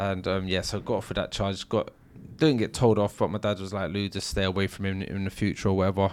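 In a London accent, a man talks at a very fast pace. His pitch sits fairly low, with fairly even intonation. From South London. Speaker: former armed robber. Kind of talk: interview storytelling.

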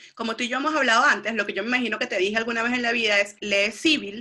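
A woman with fairly high pitch speaks. She goes very fast, with ordinary pitch variation. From Venezuela. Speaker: psychologist. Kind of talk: casual interview.

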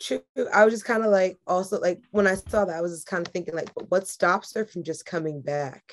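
Speaking at a fairly quick pace, a woman has a plain, everyday voice at medium pitch with an American accent. Her loudness swings widely. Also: ordinary pitch variation. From New York. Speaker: podcast co-host. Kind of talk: casual chat, joking banter.

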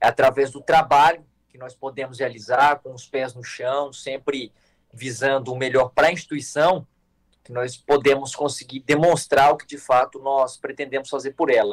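This man's fairly high voice stays monotone and flat at a moderate pace. His loudness swings widely, and the sound is dry and close with no echo. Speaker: youth organization national leader. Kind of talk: casual chat.

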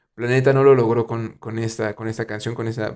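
Over a very clean recording with a silent background, a man speaks with a Mexican accent and fairly even intonation. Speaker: podcast host. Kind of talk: casual chat.

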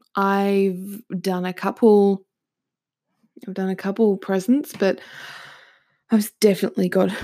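At a fairly slow pace, a woman with an Australian accent speaks in a medium pitch with a dark, mellow tone. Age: 20s. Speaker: podcast host. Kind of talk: casual monologue. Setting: home recording with microphone.

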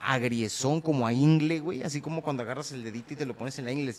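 A medium-pitched man with ordinary pitch variation at a fairly quick pace. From Mexico. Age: 30s. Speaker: podcast host. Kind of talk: casual chat. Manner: animated.

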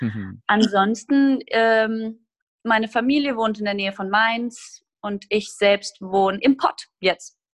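A woman's very slow speech with fairly even intonation, in a dry, close sound with no echo. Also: fairly high pitch for a woman. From Hesse, Germany (Groß-Gerau). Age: 20s. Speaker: musical theatre performer. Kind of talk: casual interview chat.

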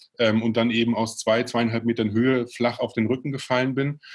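This man speaks at a moderate pace and medium pitch, his intonation monotone and flat. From Bavaria (Regensburg). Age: 30s. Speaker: entrepreneur. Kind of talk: interview. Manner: hesitant, many fillers.

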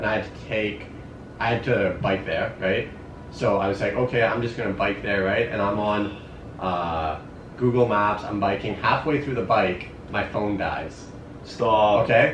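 With a Canadian accent, a man of fairly low pitch talks at a fairly slow pace and with fairly even intonation over noticeable background noise. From Canada, Sudbury, Ontario. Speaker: university student and runner. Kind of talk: casual chat. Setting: in person, Berlin.

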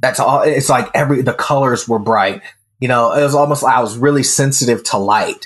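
Fairly quick and very even in loudness, a man with an American accent speaks in a medium pitch with fairly even intonation and an unremarkable speaking voice. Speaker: self mastery coach. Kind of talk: casual interview.

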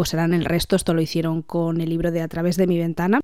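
A woman's dark, mellow tone at a fairly quick pace. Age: 20s. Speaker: podcast host, book reviewer. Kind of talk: casual monologue.

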